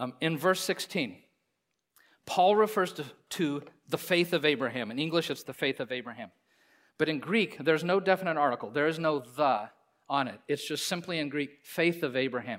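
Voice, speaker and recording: A man speaks in a normal speaking voice, fairly high-pitched with lively intonation, at a moderate pace. The recording is very clean, with a silent background. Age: 50s. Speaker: pastor. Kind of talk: sermon. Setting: church.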